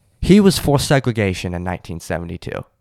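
This man talks at a fairly quick pace with a Southern US accent, a fairly low pitch and lively intonation. The recording is very clean with a silent background and a dry, close sound with no echo. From South Carolina. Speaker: podcast co-host, fill-in guest. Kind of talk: casual chat.

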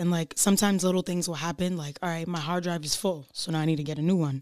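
This woman has an ordinary speaking voice, fairly low in pitch with fairly even intonation, captured in a dry, close sound with no echo on a very clean recording with a silent background. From Rhode Island, US (North Providence). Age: 20s. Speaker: musical artist. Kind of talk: casual chat.

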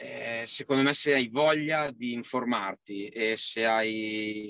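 A man's voice has a bright, sharp tone, recorded dry and close with no echo. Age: 30s. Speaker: father and salesman. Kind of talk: interview. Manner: halting.

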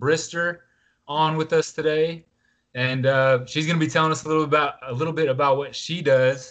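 A man with an American accent and an unremarkable speaking voice, fairly high pitch and fairly even intonation. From US South (Atlanta). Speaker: podcast host, author. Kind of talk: casual interview.

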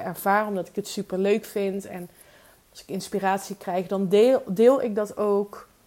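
A woman with a medium pitch and a dark, mellow tone speaks at a fairly slow pace in a monotone, flat intonation. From Netherlands, Limburg (Weert). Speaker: podcast host, business coach. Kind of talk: solo podcast monologue.

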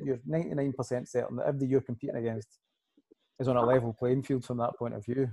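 A man with a dark, mellow tone, fairly even intonation, and a fairly quick pace. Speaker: podcast host and lifting coach. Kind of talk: casual chat.

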